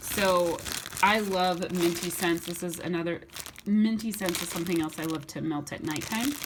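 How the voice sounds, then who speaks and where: Amid noticeable background noise and audible room echo, a woman talks at a fairly low pitch with ordinary pitch variation. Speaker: YouTuber reviewing wax melts. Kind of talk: haul video. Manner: fast; stumbling over words.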